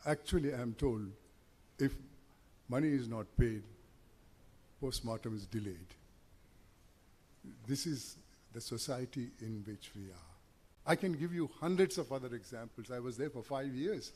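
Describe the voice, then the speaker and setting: At a moderate pace and medium pitch, a man speaks in a somewhat breathy voice with lively intonation, big swings in loudness and long, frequent pauses. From India, Mangalore. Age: 80s+. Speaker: chief guest speaker. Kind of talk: public speech.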